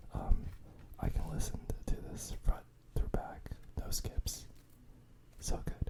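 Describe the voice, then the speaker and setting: A man whispering over noticeable background noise. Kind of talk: casual show and tell on a podcast-like video.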